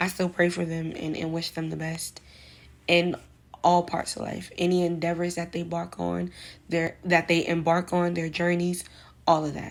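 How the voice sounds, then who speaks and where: Monotone, flat intonation from a woman at a fairly low pitch, in an American accent. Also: moderate pace. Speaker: vlogger giving advice. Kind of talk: casual monologue vlog. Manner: casual, slangy.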